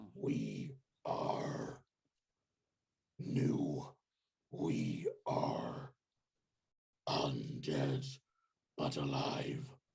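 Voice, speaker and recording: A man uses a raspy, put-on character voice. He talks at a very slow pace with long, frequent pauses. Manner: speaking as a unified chorus of voices.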